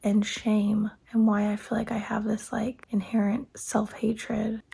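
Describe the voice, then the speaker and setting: Somewhat breathy, a woman speaks slowly-ish at a fairly slow pace with a fairly high pitch. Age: 30s. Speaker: stay-at-home mom vlogger. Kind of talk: personal vlog monologue. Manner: halting.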